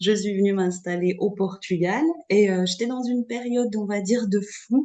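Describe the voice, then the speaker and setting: A woman's medium-pitched voice keeps a fairly slow pace and fairly even intonation. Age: 40s. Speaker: astrology student. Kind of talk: testimony. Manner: halting.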